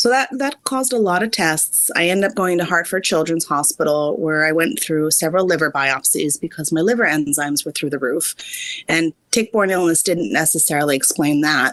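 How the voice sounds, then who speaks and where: A woman with an American accent has a normal speaking voice, pitched fairly low. She talks at a fairly quick pace with lively intonation. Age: 30s. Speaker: physician assistant and author. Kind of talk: casual interview.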